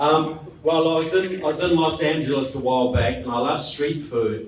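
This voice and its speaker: A New Zealand accent with ordinary pitch variation, over noticeable background noise and audible room echo. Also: man. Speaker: political speaker and author. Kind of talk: public talk to an audience. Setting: stage with live audience. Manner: animated.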